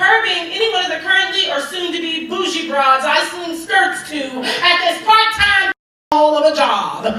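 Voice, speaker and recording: A woman's raised, projected voice. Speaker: poet. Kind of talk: slam poetry performance.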